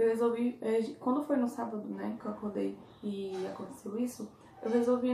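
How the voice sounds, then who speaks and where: A woman speaks at a moderate pace over light background noise, with audible room echo. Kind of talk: casual vlog chat. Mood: calm, reflective. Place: home room. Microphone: phone near.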